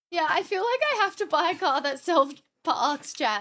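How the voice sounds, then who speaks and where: In an Australian accent, a woman talks at a fairly slow pace. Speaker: streamer. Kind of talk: casual chat. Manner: animated.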